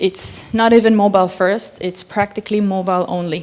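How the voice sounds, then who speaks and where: A woman with a non-native accent talks in a medium pitch at a moderate pace. Her intonation stays fairly even. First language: not English. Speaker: conference speaker. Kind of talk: conference talk.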